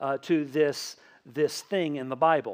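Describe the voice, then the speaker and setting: A man's fairly high-pitched voice with a slight Tennessee accent, over a quiet background. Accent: slight Southern US (Tennessee). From Tennessee, US South. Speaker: pastor. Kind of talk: sermon. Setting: church. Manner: casual, conversational.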